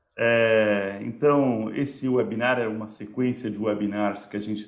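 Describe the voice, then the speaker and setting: With audible room echo, a man at a medium pitch talks at a fairly slow pace using fairly even intonation. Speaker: company representative, webinar host. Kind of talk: webinar presentation.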